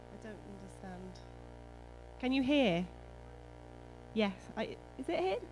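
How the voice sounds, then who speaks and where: With a British accent, a woman speaks at a fairly slow pace with long, frequent pauses and big swings in loudness, over music in the background and audible room echo. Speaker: mental health nurse and academic. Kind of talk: conference talk. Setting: conference hall with audience.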